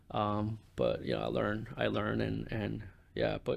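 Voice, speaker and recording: A man speaks at a moderate pace with a Spanish accent, on a very clean recording with a silent background. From Panama, moved to Jersey City at 12. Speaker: community sports program manager. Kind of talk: podcast interview. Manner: many fillers and repetitions.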